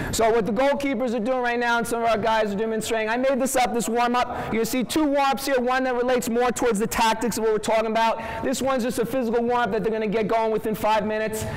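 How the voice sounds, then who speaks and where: A man with a Long Island accent talks very fast in an extremely high, monotone, flat voice with very even loudness and hardly any pauses, over noticeable background noise. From Long Island, New York. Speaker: soccer coach. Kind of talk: coaching clinic demonstration. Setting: workshop with live audience.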